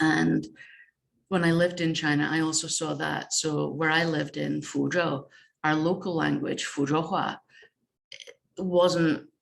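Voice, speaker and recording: Speaking at a fairly slow pace, a woman talks in a northeast Scottish accent. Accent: northeast Scottish (Doric). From northeast Scotland. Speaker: games researcher and game jam organiser. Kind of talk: conference presentation.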